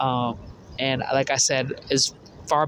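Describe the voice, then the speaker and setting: Noticeable background noise sits behind this voice. It speaks at a fairly slow pace with monotone, flat intonation. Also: man. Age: 20s. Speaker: vlogger sharing personal testimony. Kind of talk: personal testimony monologue. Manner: halting, repeats words.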